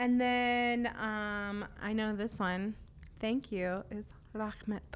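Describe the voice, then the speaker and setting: Pausing long and often, a woman speaks at a very slow pace in a fairly high pitch. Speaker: podcast host and linguist. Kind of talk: interview for an educational podcast. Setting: studio.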